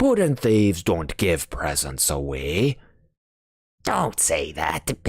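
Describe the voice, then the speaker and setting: Putting on a character voice, a man speaks very slowly at a very deep, low pitch with very wide pitch swings. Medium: read story. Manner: blunt, gruff.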